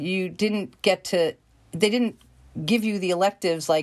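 On a very clean recording with a silent background, a woman with a New York accent talks at a moderate pace in a medium pitch with ordinary pitch variation. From New York, Queens. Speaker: acting coach. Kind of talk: interview. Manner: animated.

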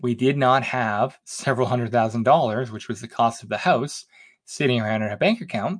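With a normal speaking voice, a man talks at a fairly quick pace and medium pitch, using ordinary pitch variation against a quiet background. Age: 30s. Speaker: personal finance podcast host. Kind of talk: solo podcast monologue.

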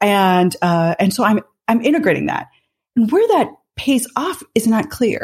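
A woman speaks somewhat breathily with a fairly high pitch. Her pitch swings very widely, and her pace is fairly slow. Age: 50s. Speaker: business author and management thinker. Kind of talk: interview conversation.

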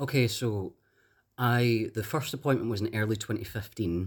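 With a Glasgow accent, a man of fairly low pitch speaks at a moderate pace in a very clean recording with a silent background. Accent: Glasgow Scottish. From Scotland. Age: young. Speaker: detransitioner sharing personal story. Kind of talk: interview.

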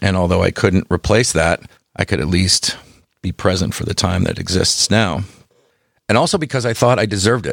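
A man with a plain, everyday voice, fairly quick in pace with ordinary pitch variation, in a very clean recording with a silent background. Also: fairly low pitch for a man, dry, close sound with no echo. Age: 60s. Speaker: chef and hospitality consultant. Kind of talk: interview conversation.

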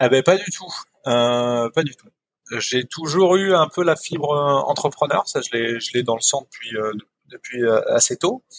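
In a dry, close recording with no echo, a fairly high-pitched man speaks fairly slowly with lively intonation, long, frequent pauses and big swings in loudness. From Picardy, northern France. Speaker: entrepreneur, fair-trade farm founder. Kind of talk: interview conversation. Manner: hesitant, many repetitions.

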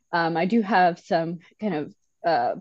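A woman with a fairly low pitch and ordinary pitch variation talks in an ordinary speaking voice. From Michigan, Metro Detroit. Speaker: civil engineer. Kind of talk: casual chat.

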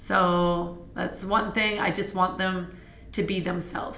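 A woman with a Canadian accent speaks at a fairly slow pace. Noticeable background noise and audible room echo surround her voice. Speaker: fitness studio owner and instructor. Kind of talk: casual interview. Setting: fitness studio.

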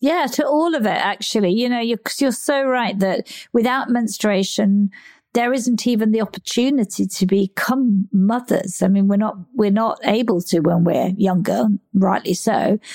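At a moderate pace and very even loudness, a woman with a fairly high pitch and ordinary pitch variation uses an ordinary speaking voice. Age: 60s. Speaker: podcast host and menopause coach. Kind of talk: interview conversation.

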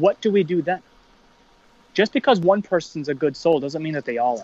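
A man with an American accent uses a plain, everyday voice, fairly high in pitch, with ordinary pitch variation. He talks at a fairly quick pace, and the sound is dry and close with no echo. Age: 30s. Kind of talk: casual chat.

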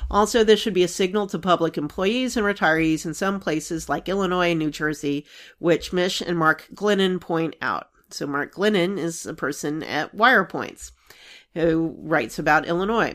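A woman with an unremarkable speaking voice talks at a moderate pace and fairly low pitch. Her pitch variation is ordinary, and the recording is very clean with a silent background. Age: 40s. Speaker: actuary podcast host. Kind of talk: solo explainer talk.

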